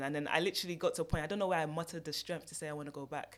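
On a very clean recording where the background is silent, a woman talks with a fairly low pitch. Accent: British. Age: 30s. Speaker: author. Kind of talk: personal testimony interview. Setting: studio.

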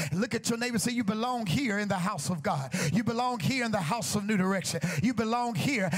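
A man's high-pitched, animated voice with lively intonation at a fairly quick pace, music in the background. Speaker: preacher. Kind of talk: sermon. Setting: church with congregation. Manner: animated, rousing call-and-response, urging the congregation to shout back; rhythmic, repetitive, building to a fervent crescendo.

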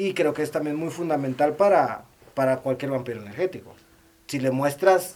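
A man with a fairly high pitch talks at a moderate pace, his pitch varying in an ordinary way, while noticeable background noise runs underneath. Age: 30s. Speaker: podcast co-host. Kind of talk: casual chat.

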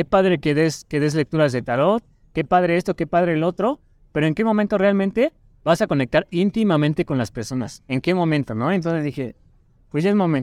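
A man's fairly high-pitched, plain, everyday voice at a fairly quick pace, lively intonation, dry, close sound with no echo. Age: 20s. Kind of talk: casual chat.

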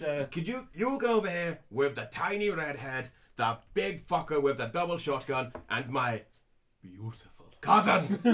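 A man puts on a gruff character voice. He uses a fairly high pitch and a moderate pace. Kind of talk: comic overacting. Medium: actual play. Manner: gruff, barking, impatient.

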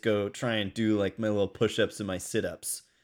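Recorded very cleanly against a silent background, this is a man's voice. He keeps a moderate pace. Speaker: podcast co-host. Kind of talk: casual chat. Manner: loud.

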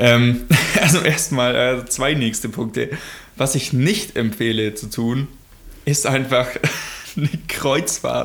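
A man speaks at a very slow pace with ordinary pitch variation, leaving long, frequent pauses over noticeable background noise. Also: medium pitch for a man. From Germany. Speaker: podcast co-host. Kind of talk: casual chat.

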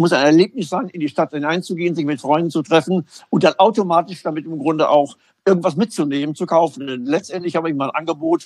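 A man with a fairly high voice talks very fast in an animated tone, with ordinary pitch variation and a dry, close sound with no echo. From Germany, Münster. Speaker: retail consultant and former athlete. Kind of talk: interview. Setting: at home, remote.

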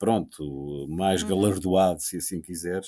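Very deep and low, a man's voice carries a dark, mellow tone at a fairly slow pace. The recording is very clean, with a silent background. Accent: European Portuguese. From Portugal. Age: 50s. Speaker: radio host. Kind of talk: casual chat. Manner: halting.

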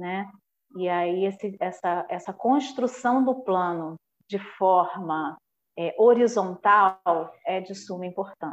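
Speaking very slowly at medium pitch, a woman uses ordinary pitch variation. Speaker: municipal culture official. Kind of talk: podcast interview. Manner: halting with many fillers.

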